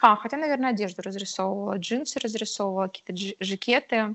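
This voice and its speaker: A woman at medium pitch talks at a very fast pace. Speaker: illustrator. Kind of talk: interview. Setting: remote call.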